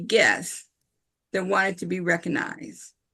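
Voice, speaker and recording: A woman speaks at a fairly slow pace with vocal fry. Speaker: club meeting chair. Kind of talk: club meeting remarks. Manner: halting.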